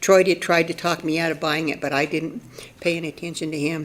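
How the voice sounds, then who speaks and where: A woman's fairly low, monotone, flat voice amid noticeable background noise. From Oregon / Northern California, US West Coast. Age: 70s. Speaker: public commenter at a city council meeting. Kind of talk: public comment. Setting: council chamber. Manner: halting.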